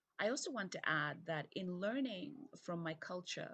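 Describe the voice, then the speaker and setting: Somewhat breathy and fairly low-pitched, a woman speaks with lively intonation. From Zambia. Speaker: keynote speaker, UN development director. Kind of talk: recorded keynote video message.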